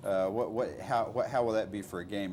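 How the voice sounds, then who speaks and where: In a Texas accent, a man talks with fairly even intonation, and audible room echo surrounds his voice. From Texas, Fort Worth. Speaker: radio journalist. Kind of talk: interview. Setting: filmed interview.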